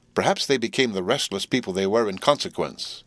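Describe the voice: Simple, plain reading aloud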